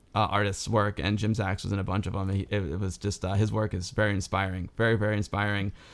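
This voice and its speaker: The recording is very clean and the background is silent. This man's fairly low voice moves very fast. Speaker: streamer and interviewer. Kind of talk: live stream interview chat. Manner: animated.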